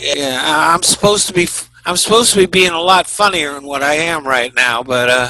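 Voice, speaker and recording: A fairly quick, fairly high-pitched man with hardly any pauses against noticeable background noise. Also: ordinary pitch variation. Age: 70s. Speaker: comedian and actor. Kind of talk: casual interview chat.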